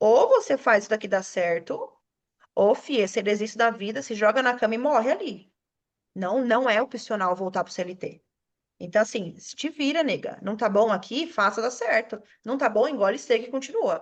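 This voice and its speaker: A woman with a fairly high pitch speaks in an animated tone at a moderate pace. Her pitch variation is ordinary, and the background is quiet. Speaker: self-employed studio owner, podcast guest. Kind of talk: casual chat.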